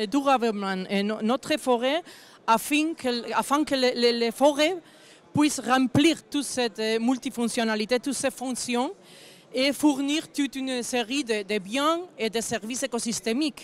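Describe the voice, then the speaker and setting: With a non-native accent, a woman with a high pitch speaks at a fairly slow pace, her pitch varying in an ordinary way. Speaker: forestry association director. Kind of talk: panel discussion. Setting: round table at agricultural fair. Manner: halting, partly read.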